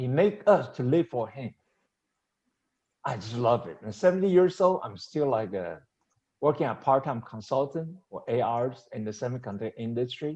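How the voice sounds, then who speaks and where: At a moderate pace, a man with a medium pitch and a dark, mellow tone speaks somewhat breathily, leaving long, frequent pauses. His pitch swings very widely and his loudness shifts a lot. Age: 70s. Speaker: seminar speaker and semiconductor consultant. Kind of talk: seminar presentation.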